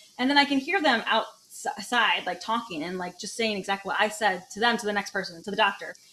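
Noticeable background noise surrounds a woman talking at a very fast pace with ordinary pitch variation. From Michigan, Detroit area. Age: 30s. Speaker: comedian. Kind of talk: casual chat.

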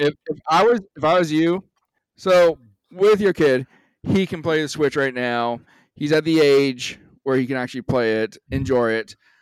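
In an unremarkable speaking voice, a man talks at a fairly high pitch and moderate pace. His intonation is lively, and the sound is dry and close with no echo. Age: 30s. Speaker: podcast co-host. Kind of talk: casual chat.

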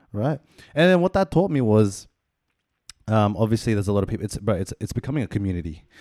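With an Australian accent, a man speaks very fast but with long, frequent pauses, his medium pitch swinging very widely in a dark, mellow tone, the sound dry and close with no echo. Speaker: podcast host. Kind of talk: casual chat.

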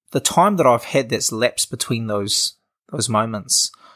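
The speaker has a New Zealand accent and a moderate pace with ordinary pitch variation. The recording is very clean, with a silent background. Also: man. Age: 20s. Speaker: social entrepreneur. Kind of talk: casual interview. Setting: in person at host's house.

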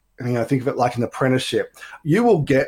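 An enthusiastic man at medium pitch with an Australian accent. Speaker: business networking director. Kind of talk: interview.

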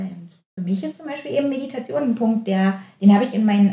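A woman speaks at medium pitch, somewhat breathy. Her tone is dark and mellow. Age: 30s. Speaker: physiotherapist and osteopath. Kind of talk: casual chat.

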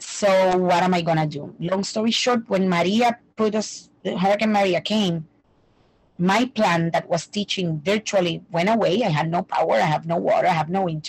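Medium-pitched female speech, somewhat breathy, moderate in speed, with ordinary pitch variation. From Puerto Rico. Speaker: language teacher. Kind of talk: interview conversation. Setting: remote call.

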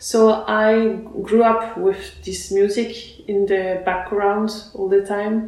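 A woman of medium pitch speaks at a very slow pace in a monotone, flat intonation with hardly any pauses, amid audible room echo and noticeable background noise. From France, born in Russia. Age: young. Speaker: Renaissance fiddle player. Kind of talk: interview. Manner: halting, many fillers.

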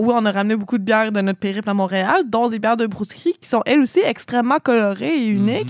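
A woman's fairly high voice at a very fast pace, recorded dry and close with no echo. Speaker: college radio co-host. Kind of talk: casual chat. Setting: radio studio.

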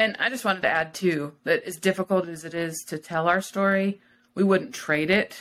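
Using a plain, everyday voice, a woman of medium pitch speaks at a moderate pace with big swings in loudness. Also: ordinary pitch variation. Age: 40s. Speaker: former missionary. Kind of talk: casual interview.

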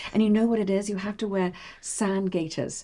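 In a very clean recording with a silent background, a woman speaks at a very fast pace in a dark, mellow tone with ordinary pitch variation. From Bahrain. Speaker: interior designer. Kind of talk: interview. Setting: her home.

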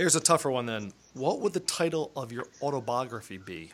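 Vocal fry runs through a man's medium-pitched voice. He talks at a fairly quick pace with very wide pitch swings. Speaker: podcast host. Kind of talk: interview.

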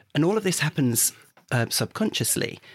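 Dry, close sound with no echo carries a man's voice. He speaks at a moderate pace with a southern English accent. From southern England, Hertfordshire. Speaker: podcast co-host. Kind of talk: casual chat.

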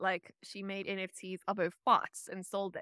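The voice belongs to a woman with a medium pitch. The sound is dry and close, with no echo. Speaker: futurist and economist. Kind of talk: interview conversation.

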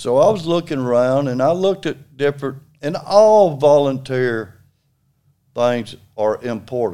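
Slowish and fairly high-pitched, a man's voice with a dark, mellow tone comes through a very clean recording with a silent background. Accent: Alabama. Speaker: retired construction worker and litter volunteer. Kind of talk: casual interview.

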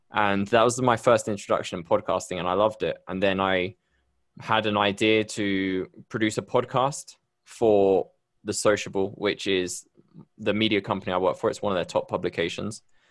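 At a moderate pace, a man talks in a fairly low voice with fairly even intonation. The background is quiet. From Bristol, UK. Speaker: podcast host. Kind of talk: casual interview chat. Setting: video call.

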